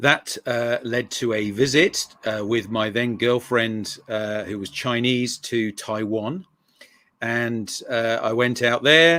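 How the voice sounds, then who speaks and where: Using an English accent, a man speaks at medium pitch and a very slow pace with ordinary pitch variation. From England. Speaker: mission researcher and author. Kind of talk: interview. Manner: hesitant, many fillers.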